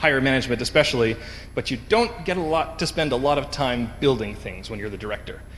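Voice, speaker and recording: Here is a medium-pitched male voice with a Canadian accent and ordinary pitch variation. Noticeable background noise and audible room echo are present. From western Canada, Vancouver. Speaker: conference speaker, engineering director. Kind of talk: conference talk. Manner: frequent filler 'um'.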